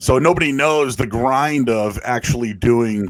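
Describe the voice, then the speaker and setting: Medium pitch and ordinary pitch variation from a man with an American accent. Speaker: sports radio host. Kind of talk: casual chat.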